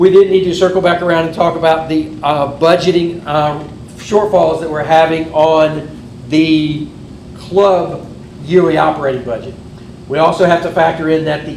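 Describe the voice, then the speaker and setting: A man's fairly high voice with fairly even intonation, amid noticeable background noise and audible room echo. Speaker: amateur radio club officer. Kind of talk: club meeting presentation. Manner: fast.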